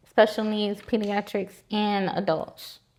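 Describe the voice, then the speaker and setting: A woman with a plain, everyday voice talks at a fairly slow pace and a fairly high pitch. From Florida (West Palm Beach, Winter Haven). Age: 20s. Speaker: registered nurse. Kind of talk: casual interview.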